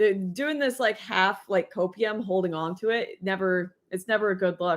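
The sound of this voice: Speaking at a fairly slow pace, a woman keeps a medium pitch with ordinary variation.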